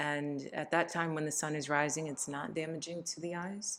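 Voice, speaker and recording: The woman's voice sits at a very deep, low pitch with fairly even intonation. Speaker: tarot and astrology reader. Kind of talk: tarot reading monologue. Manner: halting.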